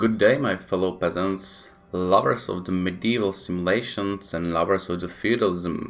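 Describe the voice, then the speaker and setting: The speaker has a Czech accent and keeps a moderate pace. There are hardly any pauses, and the intonation is fairly even. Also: man, very deep, low pitch for a man. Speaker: gaming YouTuber. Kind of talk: game tutorial narration.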